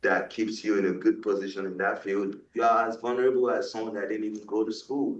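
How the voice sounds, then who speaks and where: A man with a Nigerian accent at a moderate pace. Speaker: guest speaker on West African politics. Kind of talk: panel discussion.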